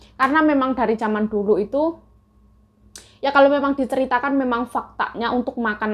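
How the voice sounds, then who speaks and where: A woman with a shrill voice speaks at a very fast pace with ordinary pitch variation. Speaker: migrant domestic worker vlogger. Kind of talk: casual mukbang vlog talk. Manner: chatty.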